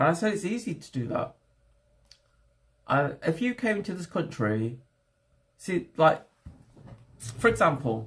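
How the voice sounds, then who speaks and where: A man with an English accent and vocal fry speaks at a fairly slow pace in a fairly high pitch, making very wide pitch swings and taking long, frequent pauses. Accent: English accent, very good. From England. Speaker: livestreamer. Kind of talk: casual livestream chat.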